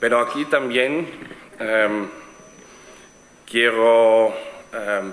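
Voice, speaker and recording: With a slight German accent, a man speaks at a medium pitch and ordinary pitch variation, with audible room echo and noticeable background noise. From Switzerland. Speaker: event organizer, networking platform founder. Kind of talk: conference presentation. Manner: halting, many fillers and restarts.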